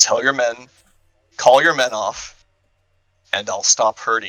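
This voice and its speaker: A man puts on a character voice, speaking at a fairly slow pace with a medium pitch and fairly even intonation. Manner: menacing.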